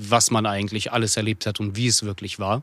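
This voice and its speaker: An unremarkable speaking voice with fairly even intonation on a very clean recording with a silent background. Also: man. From Russia, Chelyabinsk; raised in Hamburg from age 10. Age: 30s. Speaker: entrepreneur and former politician. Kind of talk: interview.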